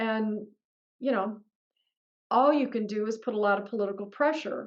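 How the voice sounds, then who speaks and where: A woman uses an ordinary speaking voice, pitched fairly high, and talks at a moderate pace. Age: 60s. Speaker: political candidate. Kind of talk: Q&A interview. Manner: conversational, with many fillers.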